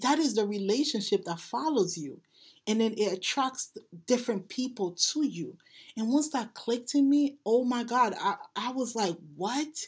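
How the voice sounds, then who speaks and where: On a very clean recording with a silent background, a woman speaks high with lively intonation. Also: moderate pace. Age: 30s. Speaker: spiritual healing podcast host. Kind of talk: casual monologue. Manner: halting, with repeated words.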